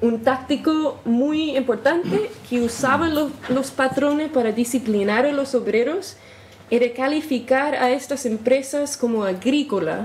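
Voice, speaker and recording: A woman's high voice with an American accent, fairly slow, with ordinary pitch variation, audible room echo and noticeable background noise. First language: English (speaking Spanish). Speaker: historian researcher. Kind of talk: lecture. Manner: halting, self-correcting.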